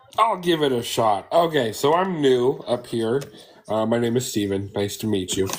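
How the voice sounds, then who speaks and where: A man speaks at a moderate pace and medium pitch with lively intonation. Noticeable background noise runs behind him. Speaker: rune reader. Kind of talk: psychic reading. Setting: TikTok live stream.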